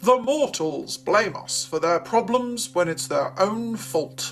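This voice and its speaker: A man puts on a character voice at a high pitch and a fairly slow pace. Clear music plays in the background. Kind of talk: educational reading and explanation.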